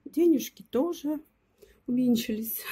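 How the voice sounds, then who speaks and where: A woman's dark, mellow tone comes through somewhat breathy. She keeps a moderate pace. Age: 50s. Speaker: video blogger. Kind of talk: casual vlog chat.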